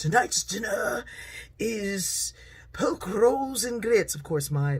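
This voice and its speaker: Put-on character voice from a woman, fairly high pitch with very wide pitch swings at a very slow pace. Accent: British. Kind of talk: posh.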